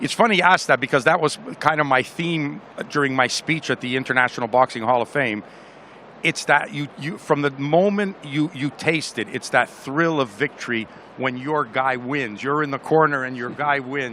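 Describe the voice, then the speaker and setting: A man with a fairly high pitch uses a normal speaking voice, keeping a moderate pace and ordinary pitch variation. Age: 60s. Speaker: boxing trainer. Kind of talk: interview.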